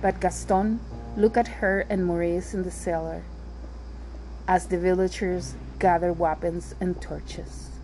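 Music plays in the background as a woman speaks with a warm tone. Her pace is fairly slow, with long, frequent pauses. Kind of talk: fairy-tale narration read aloud in English then Spanish, language-learning podcast. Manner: warm, affectionate, addressing listeners as loved ones; clear, measured, repeating for learners.

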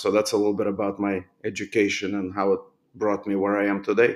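This man has a fairly low pitch and a fairly quick pace. The recording is very clean, with a silent background. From Moldova, Chisinau. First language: Romanian or Russian. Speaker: orthodontist. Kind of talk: interview.

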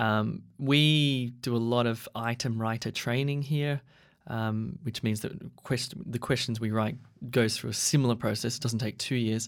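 A man talks at a fairly slow pace in a plain, everyday voice of medium pitch. The recording is very clean, with a silent background. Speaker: podcast interviewer and English teacher. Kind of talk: casual interview.

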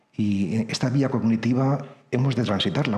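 Fairly even intonation is heard through audible room echo. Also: man. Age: 50s. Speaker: priest and writer. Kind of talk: lecture.

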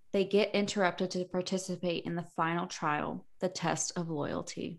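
At a moderate pace and medium pitch, a woman speaks on a very clean recording with a silent background. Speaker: podcast host. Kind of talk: casual boozy chat with book reading. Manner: animated, excitable, profane.

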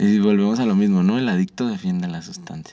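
At a fairly quick pace, a dark, mellow voice moves with lively intonation. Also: man. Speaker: podcast host. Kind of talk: casual chat. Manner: animated.

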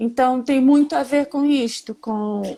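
The woman speaks at a very slow pace. Her pitch is high. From Rio de Janeiro, Brazil. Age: 40s. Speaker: chef and cancer patient sharing her story. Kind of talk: live stream conversation, personal testimony. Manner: talkative.

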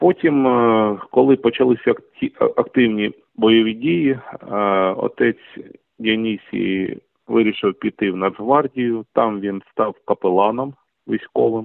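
A man at medium pitch, very slow pace, ordinary pitch variation and long, frequent pauses. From eastern Ukraine, Donetsk region. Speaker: journalist and volunteer. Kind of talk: interview.

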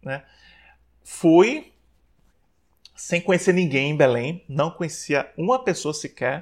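A man with a high pitch and lively intonation talks very slowly, pausing long and often, in a very clean recording with a silent background. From Brazil, Maceió (Alagoas, Northeast). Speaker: psychologist. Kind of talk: interview.

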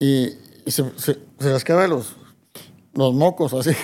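A fairly high-pitched male voice, dark and mellow in tone, at a fairly slow pace. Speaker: music promoter. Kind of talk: interview.

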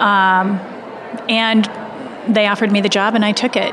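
A woman's fairly high voice with an American accent at a fairly quick pace, over noticeable background noise. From US Midwest, Indiana. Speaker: childhood nutrition expert, dietitian, author. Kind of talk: casual interview conversation.

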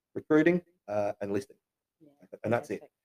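Dry, close sound with no echo around a man's dark, mellow tone. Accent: Australian. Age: 40s. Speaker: real estate agency owner. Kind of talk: interview testimony. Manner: halting.

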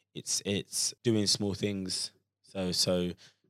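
The recording is very clean, with a silent background and a dry, close sound that has no echo. A man speaks with a very deep, low pitch. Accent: London. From London, Croydon. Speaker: personal trainer and content creator. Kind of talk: casual podcast discussion.

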